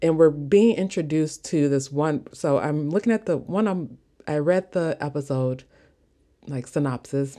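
A woman speaks with an American accent. Her voice is very deep and low, with a dark, mellow tone. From US Midwest. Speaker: podcast host. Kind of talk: casual solo podcast monologue. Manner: casual, chatty, laughs often.

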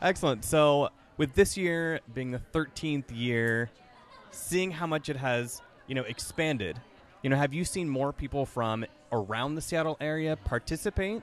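Over crowd noise in the background, a man talks at a moderate pace in a fairly high voice with ordinary pitch variation. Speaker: podcast host. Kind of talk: casual chat. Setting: on location, in person. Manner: laughs often.

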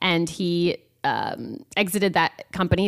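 In a Midwestern American accent, a woman with a fairly low pitch speaks with fairly even intonation on a very clean recording with a silent background. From Iowa. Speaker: social media company founder. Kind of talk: radio interview. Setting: studio.

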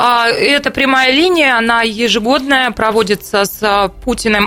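A woman speaks at a fairly slow pace in a fairly high pitch with ordinary pitch variation. It is an ordinary speaking voice. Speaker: radio host. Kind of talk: talk radio discussion. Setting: studio.

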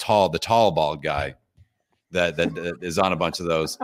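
Against a silent background, a man speaks on a very clean recording. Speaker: podcast host. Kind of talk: casual live chat. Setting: live video stream.

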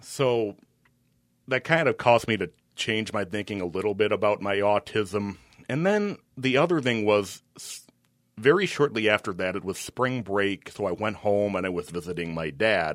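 On a very clean recording with a silent background, a man speaks in a fairly low pitch with an American accent. His pace is moderate and his pitch varies in an ordinary way. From Minnesota, Twin Cities. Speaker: sportscaster and radio announcer. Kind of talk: casual interview chat.

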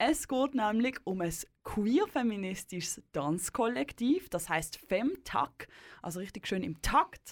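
At a very slow pace, a woman speaks in a fairly high pitch with very wide pitch swings. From Basel, Switzerland. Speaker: radio host. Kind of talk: radio interview.

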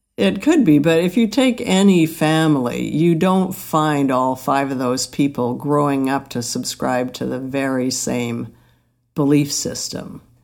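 In a Canadian accent, a woman speaks at a fairly slow pace with a very deep, low pitch and ordinary pitch variation. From Alberta, Canada. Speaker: mother of the host. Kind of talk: casual chat.

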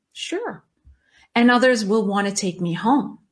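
The delivery is at a fairly slow pace with ordinary pitch variation. The voice is somewhat breathy. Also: woman. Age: 50s. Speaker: life coach podcast host. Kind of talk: solo podcast monologue.

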